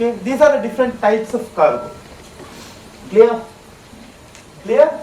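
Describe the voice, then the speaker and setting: Moderate pace in a Keralan accent, with audible room echo and noticeable background noise. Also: man, extremely high pitch for a man, ordinary pitch variation. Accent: Malayali (Mallu) Indian English. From South India, Kerala. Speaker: trainer. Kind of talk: lecture. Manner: conversational, frequent fillers and repetitions.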